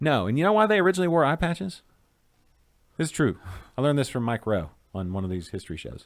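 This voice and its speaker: A man with a slight Arkansas accent speaks at a very fast pace yet leaves long, frequent pauses. His fairly high pitch swings very widely on a very clean recording with a silent background. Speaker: craft beer show host. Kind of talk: casual chat. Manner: animated.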